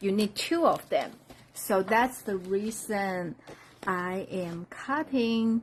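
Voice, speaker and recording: Speaking very slowly with a Chinese accent, a woman uses lively intonation at a medium pitch. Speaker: craft demonstrator. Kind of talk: live-stream craft tutorial.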